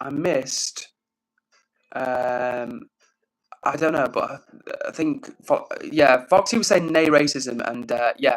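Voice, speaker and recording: A man talks with a fairly high pitch. His intonation is lively. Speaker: live streamer. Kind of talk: casual livestream chat. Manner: loud.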